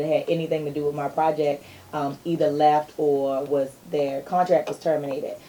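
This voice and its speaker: The woman's pitch is very deep and low. She speaks in a monotone, flat way. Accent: Maryland. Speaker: R&B singer. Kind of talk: interview.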